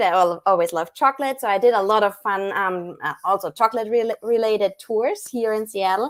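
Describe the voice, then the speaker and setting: With a German accent, a woman speaks in a fairly high voice with ordinary pitch variation. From Germany, small town. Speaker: chocolatier, business owner. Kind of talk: live stream interview. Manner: hesitant, many fillers.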